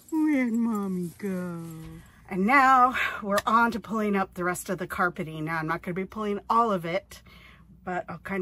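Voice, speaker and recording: A woman speaks at a moderate pace in a medium pitch. Her tone is bright and sharp. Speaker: RV-living lifestyle vlogger and online reseller. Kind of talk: casual vlog narration. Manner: whispering.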